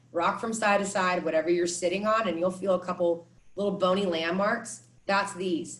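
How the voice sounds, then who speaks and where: A woman with an American accent speaks at a medium pitch. Her voice is somewhat breathy, and her pace is moderate. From California. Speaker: meditation and movement teacher. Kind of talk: workshop instruction; guided meditation. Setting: video call. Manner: soft-spoken.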